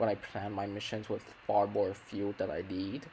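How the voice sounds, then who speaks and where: A man with a fairly low pitch, talking at a moderate pace. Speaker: gaming video commentator. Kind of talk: gameplay commentary. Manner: stuttering, self-correcting; casual.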